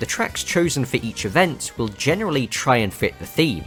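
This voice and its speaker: Music plays behind a man who speaks at a moderate pace, his pitch swinging very widely. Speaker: racing game video essayist. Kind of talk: video essay narration.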